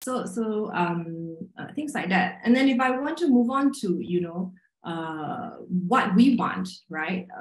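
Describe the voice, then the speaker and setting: Audible room echo surrounds a voice with lively intonation. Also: woman. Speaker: magazine writer and editor. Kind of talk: panel discussion. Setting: video call. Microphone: video call.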